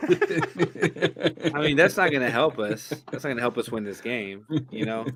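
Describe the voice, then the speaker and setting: A man in a Southern US accent speaks at a fairly slow pace, his fairly high voice carrying lively intonation. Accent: pretty southern. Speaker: soccer podcast co-host. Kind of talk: casual chat. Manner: slurry.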